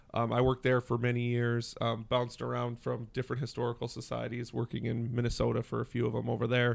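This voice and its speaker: A man's medium-pitched, monotone, flat delivery at a very fast pace, with an Upper Midwest accent. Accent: Upper Midwest American. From western Wisconsin. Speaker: downtown business organization director. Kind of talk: casual interview chat.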